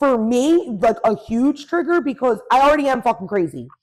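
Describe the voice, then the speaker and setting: Her voice sits high for a woman, with lively intonation. The woman keeps a moderate pace. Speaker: podcast co-host. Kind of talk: casual chat. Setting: friend's apartment. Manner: stuttering when worked up.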